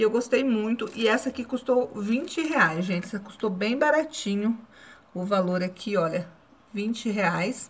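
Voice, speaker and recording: Her intonation is lively. The woman talks fairly slowly. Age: 40s. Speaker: YouTuber; vlogger. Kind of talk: casual vlog review; casual vlog chat. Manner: halting. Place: home room. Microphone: phone near.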